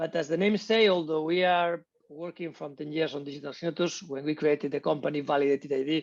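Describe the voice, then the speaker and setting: Talking at a very fast pace, a man speaks with a Spanish accent. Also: quiet background. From Spain. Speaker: tech company co-founder. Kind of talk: interview. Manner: halting, with many repetitions.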